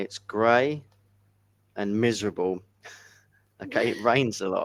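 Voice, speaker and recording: A man with an English accent talks at a fairly slow pace, with medium pitch and ordinary pitch variation. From England. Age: 50s. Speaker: English tutor. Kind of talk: casual chat.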